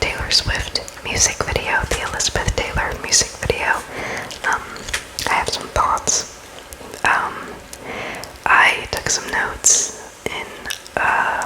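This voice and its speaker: Very slow whispering broken by long, frequent pauses, over noticeable background noise. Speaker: ASMR content creator. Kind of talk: ASMR close-up whisper ramble; casual talk to camera. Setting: close-up new microphone, home recording. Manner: whispered, casual, rambling.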